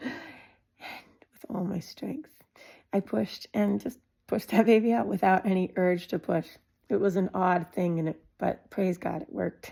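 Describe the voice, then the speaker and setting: The voice is somewhat breathy, with a dark, mellow tone. It moves at a fairly slow pace. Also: woman. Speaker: mother sharing home birth experiences. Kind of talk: personal testimony monologue. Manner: conversational with frequent fillers.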